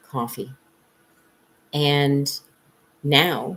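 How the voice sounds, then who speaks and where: A woman with a very deep, low pitch. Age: 60s. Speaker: psychic reader. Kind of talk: live stream monologue. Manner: casual, with many fillers.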